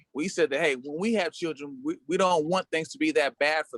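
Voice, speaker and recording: A plain, everyday voice with lively intonation at a fairly quick pace, recorded dry and close with no echo. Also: man. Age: 50s. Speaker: talk show panelist. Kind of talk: casual discussion.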